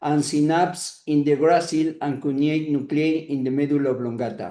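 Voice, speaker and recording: Speaking with a Spanish accent at a moderate pace, a man has a fairly high pitch and a dark, mellow tone. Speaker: neurosurgeon lecturer. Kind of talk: lecture. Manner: halting, many hesitations.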